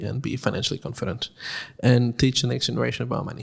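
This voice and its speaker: A man's very fast speech with vocal fry, on a very clean recording with a silent background. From Nicaragua. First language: Spanish. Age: 20s. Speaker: podcast co-host. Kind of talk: casual chat.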